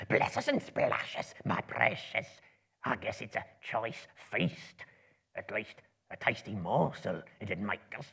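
A man whispers in a put-on character voice with a hissing sound. He goes at a fairly slow pace, with long, frequent pauses. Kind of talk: dramatic reading to live audience. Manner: creepy, wheedling, talks to himself; hungry, menacing.

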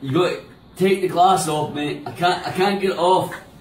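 A man talks at a moderate pace with ordinary pitch variation. The room echoes audibly, and there is light background noise. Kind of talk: frustrated drunken pleading. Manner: drunk, slurred, frustrated pleading. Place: home room. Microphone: phone near.

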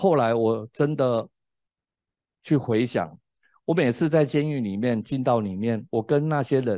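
Speaking at a fairly slow pace in a Taiwanese accent, a man has a dark, mellow tone and lively intonation, in a dry sound with no echo. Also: quiet background. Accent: Taiwanese Mandarin. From Taiwan, Tainan. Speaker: preacher and former drug addict. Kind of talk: sermon and testimony. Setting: classroom, streamed online. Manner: hesitant, many fillers. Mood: earnest, reflective. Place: studio. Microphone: handheld.

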